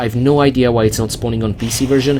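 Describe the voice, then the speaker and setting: Someone with a non-native accent talks at a fairly quick pace over noticeable background noise. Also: man. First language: not English. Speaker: video game let's play host. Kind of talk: game walkthrough commentary. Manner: casual, conversational; halting with fillers.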